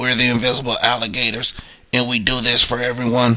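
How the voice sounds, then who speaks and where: A man's put-on character voice, raspy and monotone, medium in pitch, at a fairly quick pace. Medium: read story.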